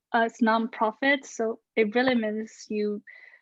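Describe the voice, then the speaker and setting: Her pitch fairly high, a woman with a Chinese accent speaks in a flat monotone at a very slow pace. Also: dry, close sound with no echo. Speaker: researcher and social media influencer. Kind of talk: Q&A in an online talk. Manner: hesitant, with fillers.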